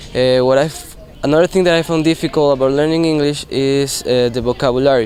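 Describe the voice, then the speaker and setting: Over noticeable background noise, a man with a Spanish accent talks at a very fast pace in a fairly high pitch with fairly even intonation. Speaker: English language student. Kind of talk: class presentation. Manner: hesitant, many fillers.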